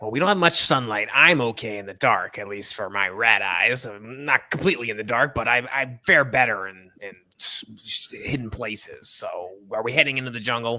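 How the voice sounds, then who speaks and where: A man uses a put-on character voice that is raspy and medium in pitch. He keeps a moderate pace with hardly any pauses. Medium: actual play. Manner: hesitant, stumbling.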